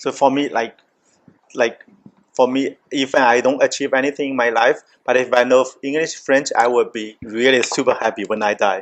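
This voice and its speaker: A man with a Chinese accent speaks at a moderate pace, his medium pitch carrying fairly even intonation. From China. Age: 40s. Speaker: podcast host, restaurant owner. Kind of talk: casual chat.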